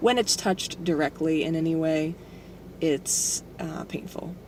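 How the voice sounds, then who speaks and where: Against noticeable background noise, a woman speaks slowly-ish at a fairly low pitch, her pace fairly slow. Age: 20s. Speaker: vlogger documenting gender transition. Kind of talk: personal video diary. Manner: hesitant with many fillers.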